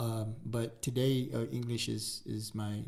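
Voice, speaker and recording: Male speech with an American accent and a slight breathiness. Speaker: podcast co-host. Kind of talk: casual chat. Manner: halting, many fillers.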